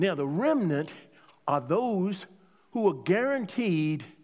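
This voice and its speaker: A man speaks at a high pitch with very wide pitch swings. His pace is very slow. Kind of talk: sermon, preacher in full flow. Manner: rhetorical, call-and-response, pressing each point with repetition; emphatic, exhorting the congregation.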